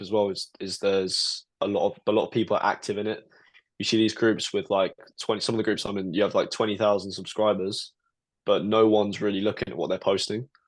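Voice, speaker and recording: A man's fairly low-pitched voice with a British accent, very fast and monotone, over a quiet background. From UK. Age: 20s. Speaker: trader. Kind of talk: casual interview.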